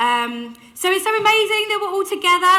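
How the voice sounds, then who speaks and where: In a raised, projected voice, a woman talks with lively intonation. Audible room echo surrounds her. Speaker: keynote speaker. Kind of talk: keynote talk. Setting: stage with audience. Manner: loud; animated.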